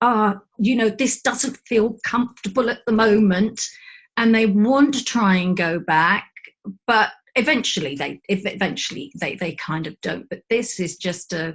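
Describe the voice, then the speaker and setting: At a fairly slow pace, a woman speaks at medium pitch in a somewhat breathy voice with lively intonation. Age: 60s. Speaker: aura mediator. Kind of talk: casual chat.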